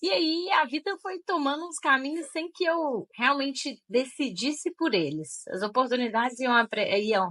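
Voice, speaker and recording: The speaker has a strong Minas Gerais accent. The pitch swings very widely. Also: woman. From Minas Gerais, Brazil (Diamantina). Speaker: tech recruiter and career mentor. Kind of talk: interview conversation. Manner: sweet, friendly.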